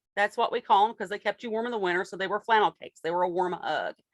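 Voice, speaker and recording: Recorded very cleanly with a silent background and a dry, close sound with no echo, a woman in an Appalachian accent speaks at a medium pitch with fairly even intonation. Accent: Appalachian Southern US. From US South, Appalachian Kentucky. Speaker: fiber dyer and small business owner. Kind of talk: interview answers.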